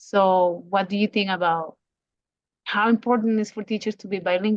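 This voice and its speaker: The speaker has a non-native accent and talks at a fairly quick pace with monotone, flat intonation. The sound is dry and close, with no echo. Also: woman, medium pitch for a woman. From Latin America. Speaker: podcast host. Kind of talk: interview.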